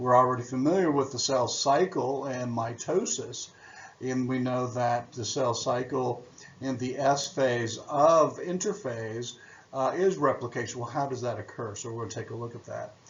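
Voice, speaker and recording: A man talks at a moderate pace with medium pitch and ordinary pitch variation. His loudness swings widely, with audible room echo and noticeable background noise. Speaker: biology teacher. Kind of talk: recorded lecture.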